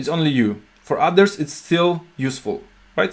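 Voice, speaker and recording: With a Polish accent, a man talks at a moderate pace with ordinary pitch variation on a very clean recording with a silent background. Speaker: software company CEO and programmer. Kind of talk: video tutorial talk. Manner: halting, many fillers and restarts.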